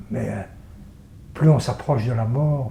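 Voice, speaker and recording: Audible room echo alongside noticeable background noise. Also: man. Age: 60s. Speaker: theatre and circus performer. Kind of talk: interview. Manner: halting, many repetitions.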